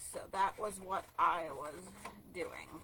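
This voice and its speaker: A woman's medium pitch at a very slow pace amid noticeable background noise. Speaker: card-making demonstrator. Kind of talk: live craft tutorial. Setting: livestream. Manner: hesitant, many fillers; quiet while focusing.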